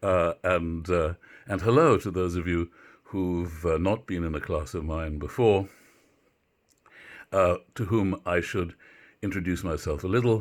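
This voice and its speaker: In a very clean recording with a silent background, a man with a British accent and a very deep, low pitch speaks at a fairly slow pace with ordinary pitch variation and long, frequent pauses. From Britain. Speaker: university literature professor. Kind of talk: lecture. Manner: halting, many filler words.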